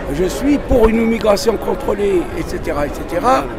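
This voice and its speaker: A man speaks at a fairly slow pace. The recording carries noticeable background noise and audible room echo. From Tunisia. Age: 70s. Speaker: interviewee at a protest. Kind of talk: street interview. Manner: halting, with repetitions.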